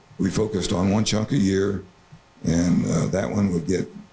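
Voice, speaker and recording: Through noticeable background noise, a man with an American accent speaks at a moderate pace in a very deep, low voice with fairly even intonation. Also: very even loudness. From southeast Iowa, USA. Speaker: crop consultant and watershed group member. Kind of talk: presentation talk. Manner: hesitant, casual.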